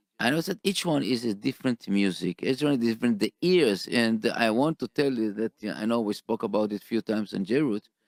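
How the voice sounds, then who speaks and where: A man with a non-native accent speaks fairly quickly with lively intonation and hardly any pauses. The recording is very clean and silent in the background, with a dry, close sound and no echo. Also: medium pitch for a man. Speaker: radio host. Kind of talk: radio interview. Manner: halting.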